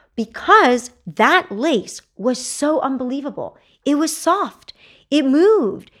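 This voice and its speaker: At a very slow pace, a woman speaks in a high pitch that swings very widely. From Texas. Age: 40s. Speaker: entrepreneur. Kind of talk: casual interview.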